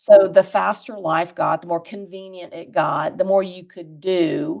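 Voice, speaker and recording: In a normal speaking voice, a woman talks at a fairly slow pace and medium pitch, with ordinary pitch variation and big swings in loudness. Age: 60s. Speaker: podcast guest, community leader. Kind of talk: casual chat.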